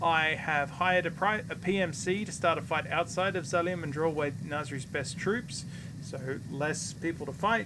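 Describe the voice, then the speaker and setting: A bright, sharp tone at a moderate pace, with ordinary pitch variation and audible room echo. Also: man, fairly high pitch for a man. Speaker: video game streamer. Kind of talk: gameplay livestream commentary with reading game text aloud. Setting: live stream. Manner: slurring; halting, frequent self-corrections.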